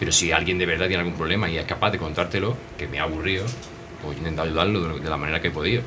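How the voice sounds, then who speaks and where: Noticeable background noise surrounds a man speaking at a very fast pace, his very deep, low voice kept in fairly even intonation. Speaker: costalero foreman. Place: bar. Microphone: handheld.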